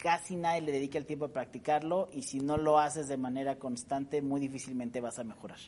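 An ordinary speaking voice with fairly even intonation. It moves at a fairly quick pace with hardly any pauses. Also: man, fairly high pitch for a man. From Mexico, San Luis Potosí. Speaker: public relations expert. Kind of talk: interview.

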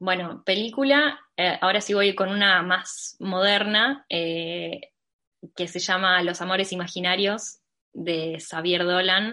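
A woman with a Rioplatense accent and a bright, sharp tone speaks at a very slow pace with hardly any pauses, using a medium pitch and ordinary pitch variation. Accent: Argentine Rioplatense Spanish. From Argentina, Mar del Plata. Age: 20s. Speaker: illustrator and designer. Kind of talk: interview.

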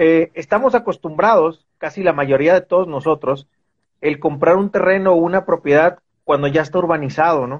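At a moderate pace, a man talks in a high voice with ordinary pitch variation. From Mexico, Veracruz. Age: 40s. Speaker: real estate investment manager. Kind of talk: interview on a live stream.

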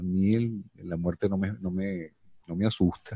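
A man speaks in a very deep, low voice with a dark, mellow tone and fairly even intonation, the sound dry and close with no echo. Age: 50s. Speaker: podcast host and actor. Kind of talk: casual chat.

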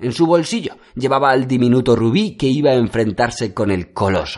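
Against a quiet background, a man talks at a medium pitch. His pace is fairly slow. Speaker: audiobook narrator. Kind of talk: fairy-tale fable narration, read aloud as a storybook tale. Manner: measured, storyteller's pacing.

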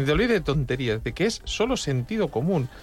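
Speaking at a very fast pace, a man delivers his words with lively intonation. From Spain. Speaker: radio host and blind food critic. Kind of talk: casual chat. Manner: animated.

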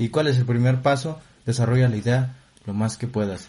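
With a Mexican accent, a man speaks at a fairly quick pace in a medium-pitched, somewhat breathy voice with a dark, mellow tone and ordinary pitch variation. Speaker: podcast co-host. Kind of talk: casual comedic chat.

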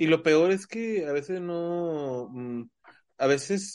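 A man talks with ordinary pitch variation. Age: 30s. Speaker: podcast host. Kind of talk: casual chat.

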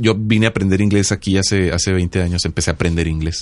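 A man's intonation stays fairly even as he rattles along at a very fast pace. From Mexico, Sinaloa. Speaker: podcast co-host. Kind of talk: casual chat. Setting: studio.

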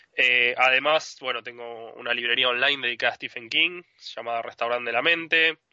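Fairly quick and with fairly even intonation, the speaker talks in an ordinary speaking voice. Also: man, medium pitch for a man. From Argentina. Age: 30s. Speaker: author. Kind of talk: interview.

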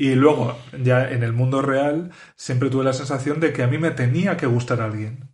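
In a room with audible echo, a man speaks at a moderate pace in a medium, somewhat breathy voice with fairly even intonation. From Spain. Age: 30s. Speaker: podcast host. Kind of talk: casual interview chat.

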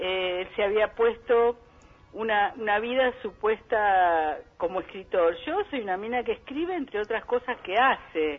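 A woman speaks at a fairly slow pace in an unremarkable speaking voice. Her pitch is fairly high and her intonation lively. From Buenos Aires suburbs (conurbano), Argentina. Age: 60s. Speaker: psychologist and poet. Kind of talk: interview. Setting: phone call.

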